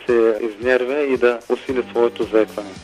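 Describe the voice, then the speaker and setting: Music plays in the background while a man speaks. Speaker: representative of a stuttering association, phone interview guest. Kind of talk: radio interview answer over the phone. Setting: phone line.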